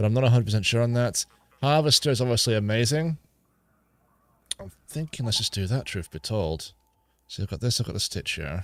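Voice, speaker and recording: A man mumbles at a medium pitch with lively intonation. He talks at a fairly quick pace yet leaves long, frequent pauses. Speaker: gaming streamer. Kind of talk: live gameplay stream commentary. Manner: mumbling; casual, thinking aloud.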